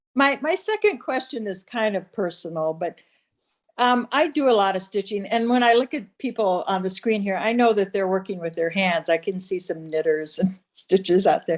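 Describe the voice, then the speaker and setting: A woman with a Minnesotan accent, medium pitch, lively intonation and a moderate pace. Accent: Minnesota. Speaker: textile artist, audience member. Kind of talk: audience question. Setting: video call.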